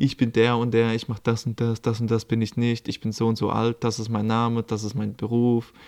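In a very clean recording with a silent background, a man of medium pitch talks at a moderate pace. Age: 20s. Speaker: life coach and podcaster. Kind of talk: casual solo monologue. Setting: recording at his aunt's home in Lithuania.

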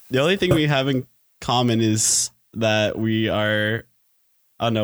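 A plain, everyday voice, with ordinary pitch variation, moves at a moderate pace. Its loudness stays very even. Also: man. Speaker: engineering student and student teacher. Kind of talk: casual chat.

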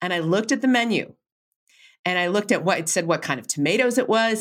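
A woman's plain, everyday voice, medium in pitch with lively intonation, on a very clean recording with a silent background. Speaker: researcher and author. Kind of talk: interview conversation.

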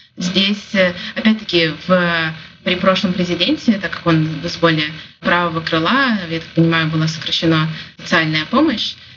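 A woman's fairly low voice at a moderate pace, with ordinary pitch variation and noticeable background noise. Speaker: business development manager and photographer. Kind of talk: interview.

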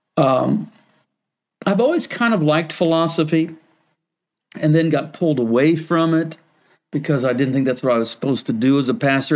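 A man speaks at a moderate pace in a normal speaking voice with lively intonation. The recording is very clean, with a silent background. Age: 60s. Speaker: pastor. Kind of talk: interview conversation.

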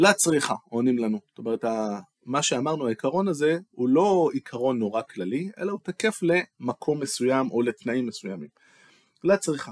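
A man with a fairly high pitch and very wide pitch swings at a moderate pace, in a dry, close sound with no echo. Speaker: teacher and tech worker explaining Talmud. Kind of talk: lecture. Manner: conversational, with hesitations.

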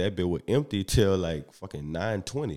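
A man with a very deep, low pitch in a New Orleans accent, at a moderate pace. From US South, New Orleans. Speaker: comedian. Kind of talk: casual chat. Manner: even, smooth delivery.

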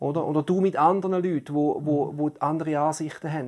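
Against a quiet background, the talking keeps a moderate pace. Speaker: podcast co-host. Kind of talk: casual discussion.

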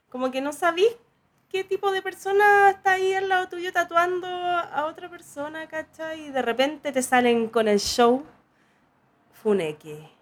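Lively intonation and a fairly slow pace, with a Chilean accent. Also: woman, extremely high pitch for a woman. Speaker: podcast host and tattoo artist. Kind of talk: casual chat.

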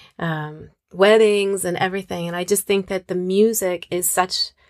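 A plain, everyday voice with an American accent speaks at a fairly slow pace and fairly even intonation, in a dry, close sound with no echo on a very clean recording with a silent background. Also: woman. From US Northwest, Moscow, Idaho. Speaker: singer and singing teacher. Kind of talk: casual interview.

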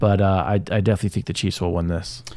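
The voice has a dark, mellow tone and moves at a fairly quick pace on a very clean recording with a silent background. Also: man. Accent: American. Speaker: podcast co-host. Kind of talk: opinionated sports talk podcast. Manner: opinionated, passionate.

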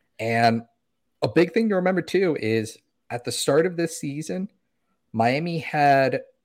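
The man talks at a fairly slow pace. His intonation is lively. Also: very clean recording, silent background. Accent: American. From South Florida. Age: 20s. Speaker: soccer content creator. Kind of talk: casual chat.

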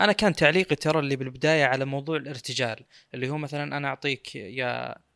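Medium in pitch with fairly even intonation, a man's bright, sharp tone sounds dry and close with no echo on a very clean recording with a silent background. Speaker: tech podcast host. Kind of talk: casual chat.

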